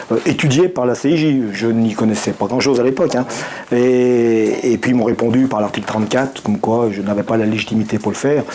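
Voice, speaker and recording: Over noticeable background noise, a man speaks at a medium pitch and fairly quick pace with very even loudness. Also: ordinary pitch variation. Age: 60s. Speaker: regional activist, co-founder of an association. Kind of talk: interview. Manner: halting, many hesitations.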